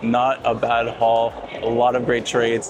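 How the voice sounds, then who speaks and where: In a monotone, flat intonation and at a medium pitch, a man talks while noticeable background noise is present. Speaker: card collecting youtuber. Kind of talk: vlog commentary. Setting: card show event.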